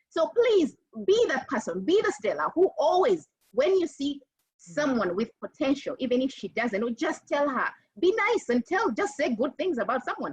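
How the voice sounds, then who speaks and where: Her high voice moves in very wide pitch swings, clearly a woman's. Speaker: panelist. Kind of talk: panel discussion. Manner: fast.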